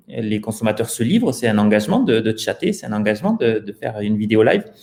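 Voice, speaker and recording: Speaking very fast, a man has a slight southern French accent. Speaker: startup founder. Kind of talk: interview.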